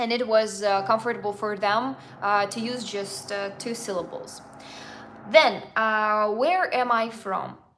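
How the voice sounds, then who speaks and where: Speaking at a fairly slow pace, a woman with a fairly high pitch and ordinary pitch variation is heard over audible room echo. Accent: Russian. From Russia. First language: Russian. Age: 20s. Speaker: travel vlogger. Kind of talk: live Q&A. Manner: halting.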